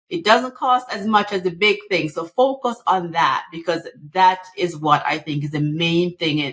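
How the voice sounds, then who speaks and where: Lively intonation at a moderate pace, with a Jamaican accent. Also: woman. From Jamaica, rural. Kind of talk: podcast interview.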